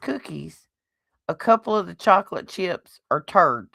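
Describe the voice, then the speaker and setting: With a medium pitch and an animated tone, a woman speaks at a fairly slow pace in a dry, close sound with no echo. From US South. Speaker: podcast host. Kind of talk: casual chat.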